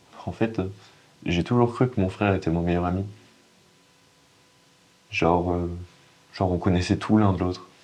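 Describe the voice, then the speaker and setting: Pausing long and often, a man talks at a moderate pace in a very deep, low voice with fairly even intonation. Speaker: actor. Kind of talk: acting demo monologue, dramatic performance of a scene. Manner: halting, hesitant with many pauses and restarts, emotional.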